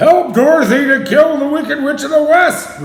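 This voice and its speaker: A man bellowing in a put-on character voice, extremely high-pitched, at a moderate pace. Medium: read story. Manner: stern, imposing.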